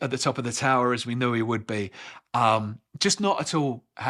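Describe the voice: Over a quiet background, the speaker does plain reading aloud with ordinary pitch variation.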